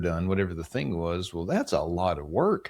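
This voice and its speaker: A man talks with a very deep, low pitch. The recording is very clean, with a silent background. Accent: American. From West Virginia, Appalachia. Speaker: home care company leader. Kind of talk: podcast interview.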